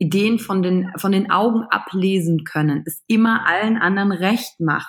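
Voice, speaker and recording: A woman speaks at a moderate pace with hardly any pauses, her voice somewhat breathy. Her pitch is medium, with ordinary variation. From western Germany, Wülfrath near Wuppertal (NRW). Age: 30s. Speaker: emotional intelligence coach. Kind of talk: podcast interview. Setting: remote call from home computer.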